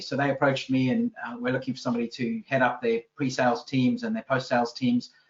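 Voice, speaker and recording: The speech comes at a very fast pace. It carries a South African accent. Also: man. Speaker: business consultant. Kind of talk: interview podcast. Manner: hesitant, many fillers.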